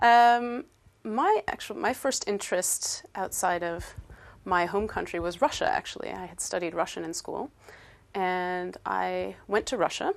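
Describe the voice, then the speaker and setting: In an American accent, a woman speaks at a fairly slow pace. The background is quiet. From upstate New York, US. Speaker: English teacher. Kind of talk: interview. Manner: hesitant, many fillers.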